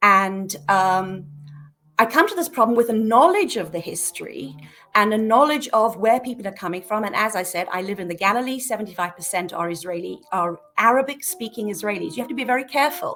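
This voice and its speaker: A woman with a British accent at a fairly quick pace, with lively intonation and noticeable background noise. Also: fairly high pitch for a woman, big swings in loudness. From Britain. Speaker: peace activist. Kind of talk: podcast interview. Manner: hesitant, many fillers.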